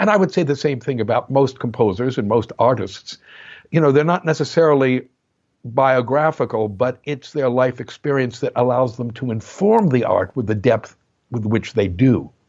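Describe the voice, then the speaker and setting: This man has a plain, everyday voice with an American accent, pitched at a medium level. He speaks at a moderate pace with lively intonation. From New Jersey. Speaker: music historian and composer. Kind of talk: interview.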